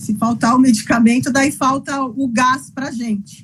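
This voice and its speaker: A woman speaks at a high pitch with lively intonation and a moderate pace. Noticeable background noise runs underneath. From Brazil, interior of São Paulo state. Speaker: physician and patient advocate. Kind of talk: interview. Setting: live video call. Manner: halting, many repetitions.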